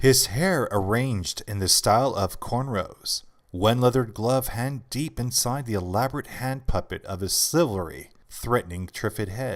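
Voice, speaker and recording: An unremarkable speaking voice from a man, medium in pitch and fairly slow, in a very clean recording with a silent background. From Canada. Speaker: voice actor. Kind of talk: audiobook essay narration.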